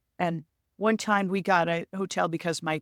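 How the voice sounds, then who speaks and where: A plain, everyday voice moves along at a moderate pace. The recording is very clean, with a silent background and a dry, close sound with no echo. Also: woman. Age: 60s. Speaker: author and motorcyclist. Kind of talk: casual interview.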